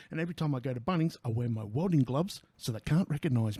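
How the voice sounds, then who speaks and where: In an Australian accent, a man with a dark, mellow, somewhat breathy tone talks at a very fast pace, medium in pitch and ordinary in pitch variation. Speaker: tradesman. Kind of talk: product review to camera. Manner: casual, sweary, joking.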